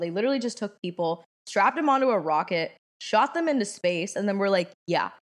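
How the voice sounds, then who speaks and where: In an American accent, an unremarkable speaking voice carries lively intonation. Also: woman. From Washington, D.C. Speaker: podcast co-host, university student. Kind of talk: casual chat.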